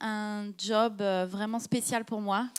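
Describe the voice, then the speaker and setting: On a very clean recording with a silent background, a woman with a French accent speaks at a fairly high pitch. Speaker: panelist. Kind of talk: panel discussion.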